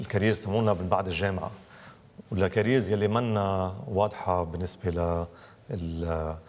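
Speaking at a moderate pace, a man with a very deep, low voice keeps his intonation fairly even. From Lebanon, Beirut; Lebanon. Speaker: novelist and screenwriter; interview guest. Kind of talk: interview. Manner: halting. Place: hall.

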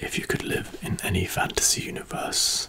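Whispering, a man goes at a fairly slow rate. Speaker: ASMR creator. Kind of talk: soft-spoken ASMR roleplay questions. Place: home room. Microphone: studio mic.

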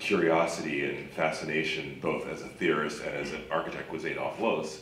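There is audible room echo and light background noise as a man talks at a fairly quick pace. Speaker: panelist. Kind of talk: panel discussion answer. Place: stage.

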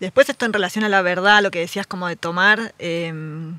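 With a Rioplatense accent, a woman speaks at a moderate pace in a bright, sharp tone and medium pitch, showing ordinary pitch variation in a dry, close sound with no echo. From Buenos Aires southern suburbs. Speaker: writer and editor. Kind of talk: casual interview chat.

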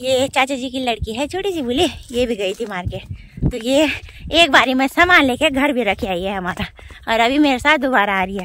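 A woman speaks at a high pitch with lively intonation. Her tone is fairly bright. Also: moderate pace.

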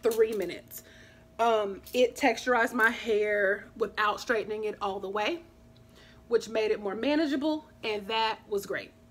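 In an unremarkable speaking voice, a woman talks fairly slowly at a fairly high pitch. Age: 30s. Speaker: YouTuber; hair vlogger. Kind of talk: casual vlog talk; casual vlog chat. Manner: casual, with many filler sounds. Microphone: phone near.

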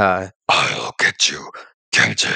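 In a raspy, put-on character voice, a man performs his lines. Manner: menacing, taunting.

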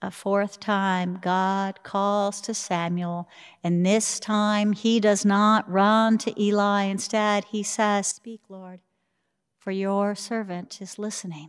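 A woman talks at a very slow pace in a monotone, flat delivery. The background is quiet. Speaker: preacher. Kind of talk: sermon. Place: church. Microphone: podium.

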